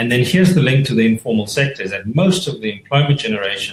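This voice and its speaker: A man's somewhat breathy voice. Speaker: economist panelist. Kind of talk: webinar talk. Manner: halting.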